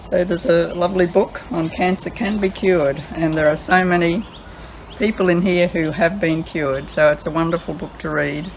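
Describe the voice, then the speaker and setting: Noticeable background noise behind a woman with a fairly low voice, speaking at a moderate pace with fairly even intonation. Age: 80s. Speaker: home gardener. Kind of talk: casual cooking demonstration to camera.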